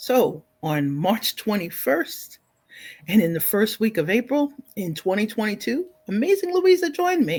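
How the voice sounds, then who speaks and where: A woman with an American accent speaks at a moderate pace in a fairly high, somewhat breathy voice. Her pitch makes very wide swings. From New York City (Bronx). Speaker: live show host. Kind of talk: live stream chat. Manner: animated.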